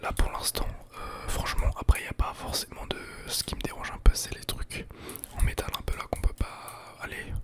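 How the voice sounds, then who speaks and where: Whispering through noticeable background noise, a man's voice swings widely in loudness. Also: moderate pace. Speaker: ASMR YouTuber and gamer. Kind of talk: casual gameplay commentary to camera.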